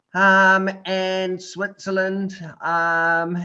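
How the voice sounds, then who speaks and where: With a New Zealand accent, a man speaks in a bright, sharp tone. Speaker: adventure tourism company founder, tetraplegic. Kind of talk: interview talk to online group. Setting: video call. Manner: casual, hesitant with fillers.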